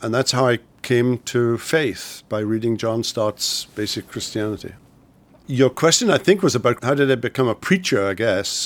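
A man with a Welsh accent and ordinary pitch variation. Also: medium pitch for a man, moderate pace, very clean recording, silent background. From Wales. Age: 60s. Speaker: pastor and theology professor. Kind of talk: interview.

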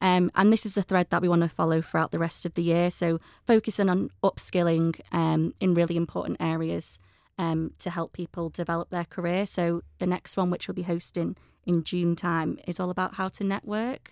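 Recorded very cleanly against a silent background, with a dry, close sound and no echo, a woman speaks in an unremarkable speaking voice at a moderate pace, fairly low-pitched and with fairly even intonation. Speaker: media account manager. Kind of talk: casual chat. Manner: frequent fillers.

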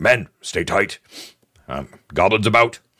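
A man puts on a gruff character voice at a medium pitch, recorded with a dry, close sound and no echo. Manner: barked, gruff orders.

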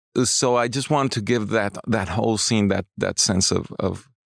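Speaking fairly quickly with a Spanish accent and ordinary pitch variation, a man is heard on a very clean recording with a silent background. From Mexico City, Mexico. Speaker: cinematographer. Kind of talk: interview. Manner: halting, frequent repetitions.

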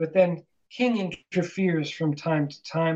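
A man speaks with a fairly high pitch. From Calgary, Canadian prairies. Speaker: author and academic. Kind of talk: interview. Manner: halting, many fillers.

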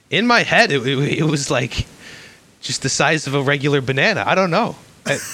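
With a Chicago accent, a man with a fairly high, bright, sharp voice talks at a moderate pace, his pitch swinging very widely between long, frequent pauses. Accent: Chicago American. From Chicago, US Midwest. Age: 20s. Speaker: podcast guest. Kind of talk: casual chat.

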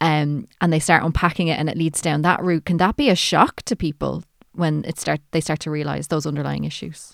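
In a very clean recording with a silent background, a woman speaks with an Irish accent. Her very deep, low voice has vocal fry, fairly even intonation, hardly any pauses and a fairly quick pace. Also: dry, close sound with no echo. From Ireland. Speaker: podcast host and editor. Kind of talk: interview.

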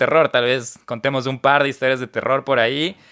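A man with a bright, sharp tone and a medium pitch speaks at a fairly quick pace. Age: 30s. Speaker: podcast host. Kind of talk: casual interview chat.

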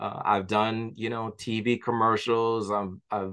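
The speaker talks at a very slow pace in a New York accent, with a quiet background. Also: man. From New York, Jamaican-American family. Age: 40s. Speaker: author. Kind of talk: interview.

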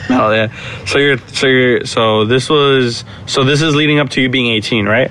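A man's medium-pitched voice at a moderate pace, with very even loudness, fairly even intonation and noticeable background noise. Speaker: podcast host. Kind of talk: casual interview chat. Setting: recording at a friend's house.

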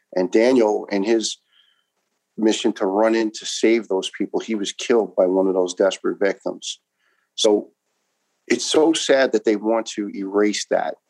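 A man with a New York accent, dry and close with no echo. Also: moderate pace. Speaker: retired firefighter. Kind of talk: interview testimony. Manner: talkative.

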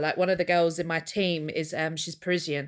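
With an English accent, a woman talks at a fairly quick pace and with fairly even intonation in a very clean recording with a silent background. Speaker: podcast co-host. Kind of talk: casual chat. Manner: giggly.

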